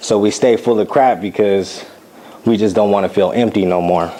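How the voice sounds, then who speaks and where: A man with an American accent, fairly low in pitch, with fairly even intonation and a moderate pace, over noticeable background noise. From United States. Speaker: war veteran. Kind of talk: spoken word performance.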